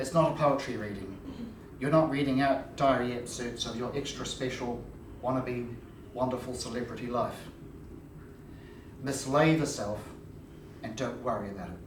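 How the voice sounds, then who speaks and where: Noticeable background noise sits behind a man talking at a moderate pace with long, frequent pauses. His voice is medium in pitch with ordinary variation. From New Zealand. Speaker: historian and political advisor. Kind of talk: lecture to live audience.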